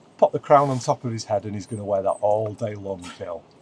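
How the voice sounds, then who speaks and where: A soft-spoken man's fairly low voice. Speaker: wildlife photographer and vlogger. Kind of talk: casual vlog narration. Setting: inside a wildlife photography hide. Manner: quiet, speaking softly.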